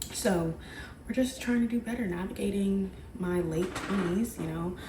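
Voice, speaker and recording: Against noticeable background noise, a woman talks at a moderate pace and a medium pitch with ordinary pitch variation. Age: 20s. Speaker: physical therapist and lifestyle vlogger. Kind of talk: casual vlog talk to camera. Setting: at home in the morning. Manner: soft-spoken, talking quietly; chatty, rambling with fillers.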